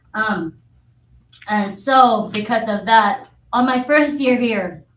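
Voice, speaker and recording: Fairly high pitch and ordinary variation in a woman's voice. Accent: Filipino. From Philippines. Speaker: social studies teacher. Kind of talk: public comment to school board. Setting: school board meeting.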